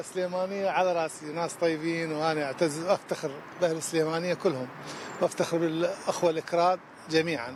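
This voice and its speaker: Noticeable background noise sits under this recording. A man with a high pitch speaks at a moderate pace. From Iraq, Baghdad. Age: 60s. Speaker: street cleaner. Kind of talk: street interview. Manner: halting.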